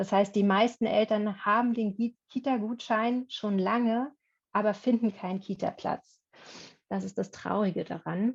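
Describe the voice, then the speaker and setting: A woman's somewhat breathy voice at a fairly slow pace, with fairly even intonation. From Berlin, Germany. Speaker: workshop presenter, former German teacher. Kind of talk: online workshop presentation.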